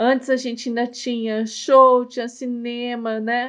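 A woman speaks at a very slow pace. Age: 50s. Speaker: podcast co-host, founder of a social project. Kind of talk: casual chat.

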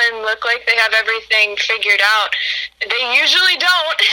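Fairly high-pitched woman with lively intonation at a moderate pace, over noticeable background noise. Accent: American. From US Midwest, Illinois. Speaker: college student. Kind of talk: casual interview.

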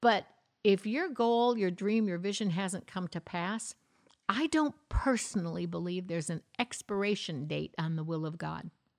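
With lively intonation at medium pitch, a woman speaks on a very clean recording with a silent background and a dry, close sound with no echo. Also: moderate pace. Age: 60s. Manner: animated.

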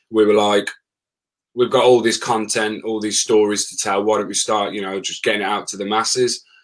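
A man speaks at a fairly quick pace in a Birmingham accent, his pitch fairly low. The intonation stays monotone and flat while the loudness swings widely. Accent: Birmingham (Brummie) English. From Birmingham, England. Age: 30s. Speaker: former plumber and travel blogger. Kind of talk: casual interview chat.

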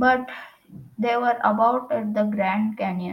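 The passage is read aloud in a natural voice.

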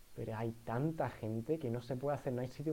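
The voice has a dark, mellow tone and an Andalusian accent. It moves along at a fairly quick pace. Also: man. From Andalusia, Spain (Jerez de la Frontera). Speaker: podcast co-host, university student. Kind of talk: casual chat. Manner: halting, many fillers.

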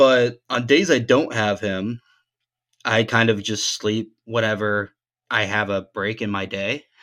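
A man with an ordinary speaking voice talks at a fairly slow pace, his pitch sitting in the medium range. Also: fairly even intonation. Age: 20s. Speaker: podcast co-host. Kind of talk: casual chat.

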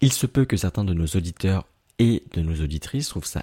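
A man with a somewhat breathy, dark, mellow tone speaks with lively intonation in a dry, close recording with no echo, very clean over a silent background. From Paris suburbs (Aubervilliers, Seine-Saint-Denis). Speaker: podcast host. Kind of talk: scripted interview questions.

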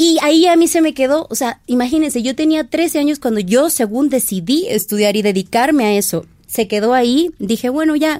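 Her high voice moves at a fairly quick pace, and this woman's intonation is lively. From Mexico, southern Veracruz coast. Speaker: fashion stylist. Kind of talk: casual interview chat.

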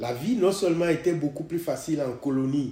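A man's somewhat breathy voice with a dark, mellow tone and audible room echo. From Togo. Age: 70s. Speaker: podcast host's father. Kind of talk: personal testimony.

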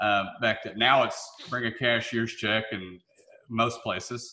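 A man with a Southern US accent speaks in a bright, sharp tone. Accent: Southern US, noticeable twang. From Memphis, Tennessee. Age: 20s. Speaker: real estate developer. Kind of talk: casual interview.

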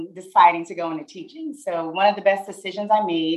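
Speaking in a plain, everyday voice with an American accent, a woman keeps a medium pitch and ordinary pitch variation. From New Jersey, near Newark. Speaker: school principal. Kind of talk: interview.

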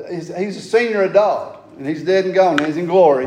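A high-pitched man with a Southern US accent at a moderate pace. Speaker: fill-in preacher. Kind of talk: sermon. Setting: church. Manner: loud.

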